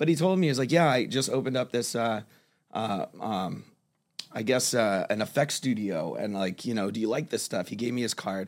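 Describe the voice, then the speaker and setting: A man with an American accent speaks fairly quickly in a normal speaking voice at a medium pitch. The recording is very clean, with a silent background. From South Florida. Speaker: kava bar server and artist. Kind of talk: casual interview. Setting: studio. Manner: relaxed, many fillers.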